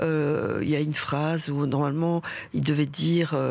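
A woman speaks at a fairly slow pace with a very deep, low pitch. Audible room echo surrounds her voice. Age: 60s. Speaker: theatre director and actress. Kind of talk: radio interview.

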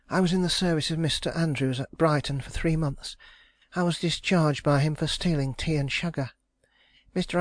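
A man's plain, everyday voice, pitched fairly high, with fairly even intonation.

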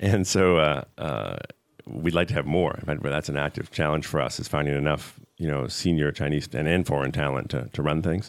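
With an American accent, a man talks at a very deep, low pitch with vocal fry and ordinary pitch variation. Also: moderate pace. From USA. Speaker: tech company co-founder and CEO. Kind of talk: interview.

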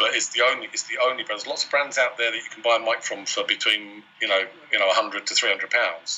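Against noticeable background noise, a man with a British accent talks at a very fast pace. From Wales and Isle of Man. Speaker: microphone company CEO. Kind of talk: interview. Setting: video call.

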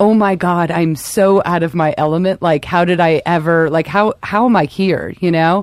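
A woman speaks in a fairly low voice. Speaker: podcast host. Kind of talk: casual comedy podcast banter. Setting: studio. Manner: animated, rambling, joking.

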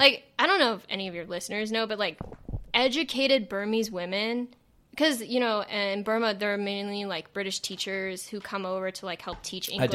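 A woman with a Southern California accent speaks at a fairly quick pace and medium pitch with ordinary pitch variation over noticeable background noise. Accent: Valley girl accent, Californian. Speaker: podcast co-host. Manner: casual, chatty, scatterbrained.

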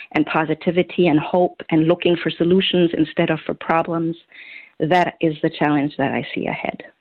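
A woman speaks with a German accent. Her voice is fairly low in pitch. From Germany. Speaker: holistic health coach and author. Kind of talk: interview.

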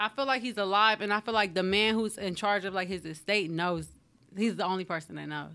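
A bright, sharp tone at a fairly quick pace, in a very clean recording with a silent background. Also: woman, medium pitch for a woman, ordinary pitch variation. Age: 30s. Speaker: hairstylist and small business owner. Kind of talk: casual chat.

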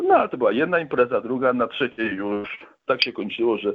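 This man has an ordinary speaking voice, pitched in the medium range. His pitch moves in an ordinary way. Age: 50s. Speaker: recovering alcoholic guest. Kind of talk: testimony. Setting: phone call.

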